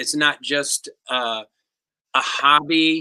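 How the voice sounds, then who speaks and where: A man's medium-pitched voice with a bright, sharp tone. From US Northeast, Englewood, New Jersey. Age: 60s. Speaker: percussionist. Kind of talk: interview answers. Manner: halting.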